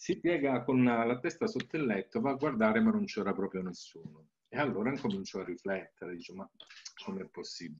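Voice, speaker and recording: Over light background noise, a man with a medium-pitched voice speaks fairly quickly, his pitch swinging very widely and his loudness shifting a lot. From Calabria, southern Italy. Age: 60s. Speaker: naturopath and Reiki teacher; Reiki teacher. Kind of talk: presentation with slides. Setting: video call. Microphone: webcam.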